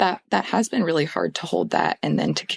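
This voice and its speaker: The voice carries vocal fry and a Pacific Northwest accent. The sound is dry and close, with no echo. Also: woman. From Portland, Oregon. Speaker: therapist. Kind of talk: podcast interview answer. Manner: hesitant, gentle.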